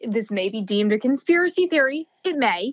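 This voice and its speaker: In a dry, close sound with no echo, a woman with an American accent speaks with very wide pitch swings. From New Jersey. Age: 30s. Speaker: lawyer. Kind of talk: casual chat.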